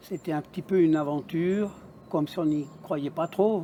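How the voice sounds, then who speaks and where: A man with a high pitch speaks at a moderate pace with ordinary pitch variation. His tone is dark and mellow. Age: 60s. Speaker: adult apprentice graduate. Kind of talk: interview testimony.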